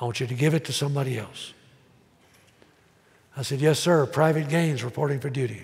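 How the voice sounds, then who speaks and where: A man's somewhat breathy voice with an American accent and monotone, flat intonation. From Tennessee. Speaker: pastor. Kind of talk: sermon preached to congregation. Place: church.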